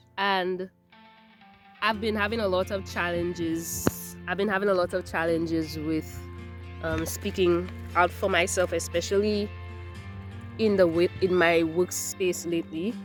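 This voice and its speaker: Fairly slow speech with long, frequent pauses over music in the background. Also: woman. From Saint Lucia. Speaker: dental hygienist. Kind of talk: casual talk to camera.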